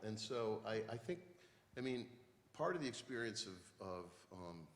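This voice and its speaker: A man with an American accent, fairly low in pitch, at a moderate pace with ordinary pitch variation and audible room echo. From western Massachusetts. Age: 60s. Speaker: poet. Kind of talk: onstage conversation.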